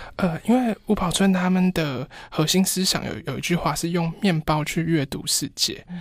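Captured in a very clean recording with a silent background, a man speaks at a moderate pace in a high pitch, with ordinary pitch variation and hardly any pauses. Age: 30s. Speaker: fashion designer. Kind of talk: interview. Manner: very quiet, low volume; halting, repeats words.

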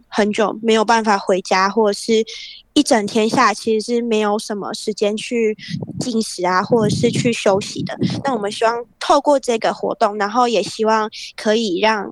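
At a moderate pace, a woman speaks with fairly even intonation and a fairly high pitch. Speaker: school teacher. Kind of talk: interview.

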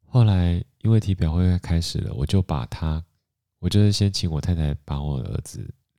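In a very clean recording with a silent background and a dry, close sound with no echo, a man talks with a very deep, low pitch, a dark, mellow tone and lively intonation. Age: 40s. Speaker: podcast host. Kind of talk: casual storytelling monologue.

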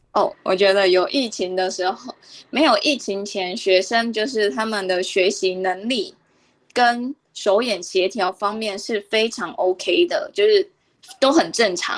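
At a fairly slow pace, a woman with a plain, everyday voice speaks at a fairly high pitch with ordinary pitch variation, in a very clean recording with a silent background. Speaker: Chinese language teacher. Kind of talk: radio interview.

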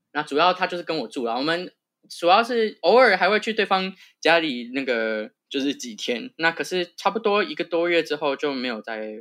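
This man's voice is high-pitched with a bright, sharp tone. His pitch swings very widely. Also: moderate pace, quiet background. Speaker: public health graduate. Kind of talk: casual interview chat.

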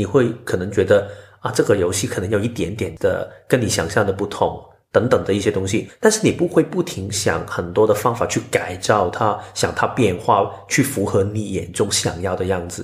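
The voice is somewhat breathy, with ordinary pitch variation and a moderate pace. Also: man, fairly low pitch for a man. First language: Cantonese (speaking Chinese). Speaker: podcast co-host and editor, Human Design enthusiast. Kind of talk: casual chat.

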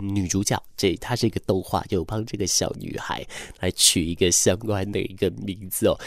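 Here a man talks at a moderate pace with a Taiwanese accent. His voice is fairly low. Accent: Taiwanese Mandarin. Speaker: radio host. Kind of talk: late-night radio talk.

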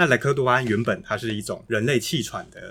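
The tone is bright and sharp, with ordinary pitch variation. The pace is very fast. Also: man. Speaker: podcast co-host. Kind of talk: casual policy discussion.

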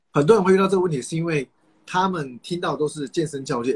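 A man with a Taiwanese accent talks at a very fast pace and a high pitch. The sound is dry and close, with no echo. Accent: Taiwanese Mandarin. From Taiwan, Kaohsiung (south). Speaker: nutritionist and fitness coach. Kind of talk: casual advice interview.

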